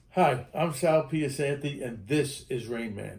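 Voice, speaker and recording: His voice somewhat breathy and dark and mellow in tone, a man speaks with ordinary pitch variation. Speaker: game protection consultant and live show host. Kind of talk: live online show chat; card trick demonstration. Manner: fast.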